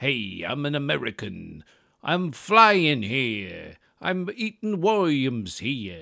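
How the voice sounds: Using a put-on character voice in a New York accent, a man speaks at a very slow pace. His pitch is fairly high and swings very widely. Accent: New York, as done by an Irish performer.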